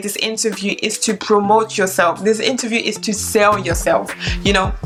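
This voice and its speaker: A woman talks at a medium pitch while music plays behind her. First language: French. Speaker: flight attendant and YouTuber. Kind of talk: tutorial.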